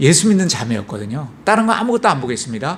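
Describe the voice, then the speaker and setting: A man speaks at a fairly high pitch with very wide pitch swings. His voice is somewhat breathy. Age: 60s. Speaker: church deacon giving testimony. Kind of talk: testimony.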